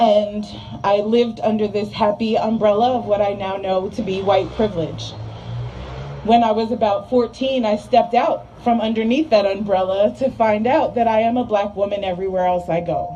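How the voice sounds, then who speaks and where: A woman with an American accent speaks at a moderate pace and medium pitch, with ordinary pitch variation. Noticeable background noise is present. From New Jersey, US. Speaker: rally speaker. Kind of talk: speech. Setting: outdoor rally. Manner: loud; animated.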